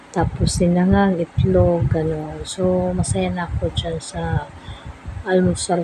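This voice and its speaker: A woman at a very slow pace, with noticeable background noise. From Philippines. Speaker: food vlogger; home food vlogger. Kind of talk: casual vlog talk. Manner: halting. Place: home room. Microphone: phone near.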